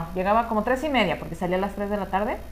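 A woman talks at a medium pitch, her voice carrying audible room echo over noticeable background noise. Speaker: podcast co-host. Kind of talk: casual chat.

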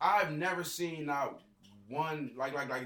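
Noticeable background noise accompanies a man who talks in an American accent. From Chicago, Illinois. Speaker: college football player and rapper. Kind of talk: casual chat.

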